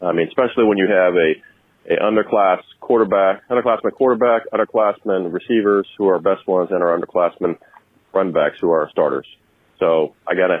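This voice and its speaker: At a fairly quick pace, a man speaks in a normal speaking voice with a fairly low pitch, ordinary pitch variation, and very even loudness. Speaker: caller. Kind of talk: voicemail message. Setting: phone call.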